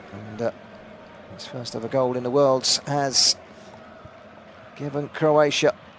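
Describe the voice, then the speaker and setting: Noticeable background noise sits behind this man's voice. He talks at a fairly slow pace with a fairly high pitch. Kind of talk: live football radio commentary.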